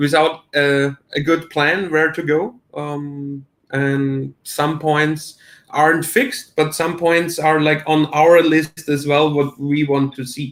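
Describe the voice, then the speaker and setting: With a German accent, a man with a fairly high pitch speaks at a very slow pace in a monotone, flat intonation. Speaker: crypto promoter. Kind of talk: casual chat. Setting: livestream. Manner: halting.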